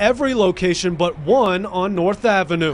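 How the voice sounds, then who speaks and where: Noticeable background noise sits behind a man speaking at a high pitch with ordinary pitch variation. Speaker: TV news anchor and reporter. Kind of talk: field reporter package voiceover.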